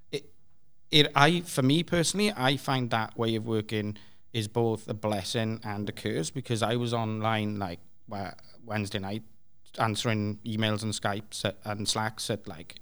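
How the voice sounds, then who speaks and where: On a very clean recording with a silent background, a man with a Welsh accent talks at a moderate pace. His pitch is fairly low, with ordinary pitch variation. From Wales (Swansea). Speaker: developer evangelist. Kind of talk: panel discussion. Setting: stage with audience.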